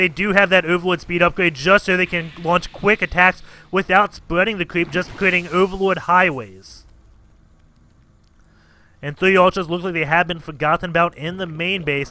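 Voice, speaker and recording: Recorded dry and close with no echo, a man with a high-pitched voice speaks at a moderate pace. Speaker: game caster. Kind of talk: esports game commentary.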